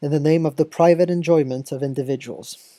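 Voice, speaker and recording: In a dry, close recording with no echo, a woman with a very deep, low voice and a dark, mellow tone talks at a moderate pace with ordinary pitch variation. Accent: French. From France. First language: French. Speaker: video essayist on political theory. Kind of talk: video essay narration. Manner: formal.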